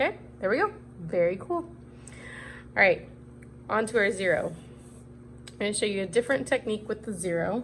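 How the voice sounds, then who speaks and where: This is a woman's voice. It carries vocal fry. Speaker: cookie decorating instructor. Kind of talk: tutorial. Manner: fast.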